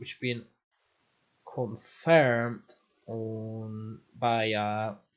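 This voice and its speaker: A man talks at a medium pitch with a non-native accent. Music plays in the background. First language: not English. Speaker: gaming streamer. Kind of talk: live game stream commentary. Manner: casual, conversational.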